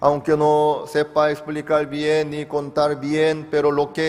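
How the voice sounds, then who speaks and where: A man with a non-native accent talks at a very slow pace. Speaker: pastor. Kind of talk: sermon.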